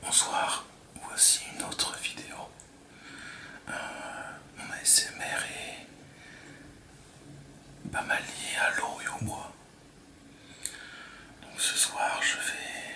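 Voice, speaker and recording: A man whispering at a very slow pace with long, frequent pauses, over noticeable background noise. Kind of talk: ASMR whispered talk to camera. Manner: whispered.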